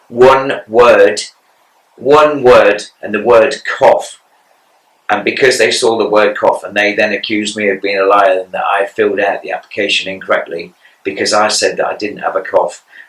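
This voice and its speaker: A man's moderate-paced speech in an English accent. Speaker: cancer patient podcaster. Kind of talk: personal monologue podcast. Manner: monotone; halting.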